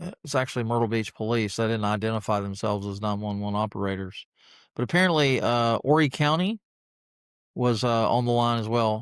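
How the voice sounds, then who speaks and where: On a very clean recording with a silent background, a man with an unremarkable speaking voice talks at a medium pitch and a fairly quick pace. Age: 60s. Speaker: podcaster. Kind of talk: casual monologue vlog. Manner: rambling, conversational with fillers.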